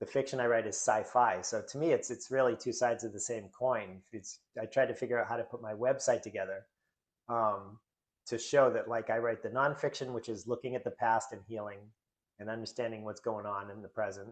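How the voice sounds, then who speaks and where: At a fairly quick pace, a man with an American accent speaks at medium pitch with fairly even intonation. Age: 50s. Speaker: author and drummer, recovery guest. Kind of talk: interview conversation. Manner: hesitant, many fillers.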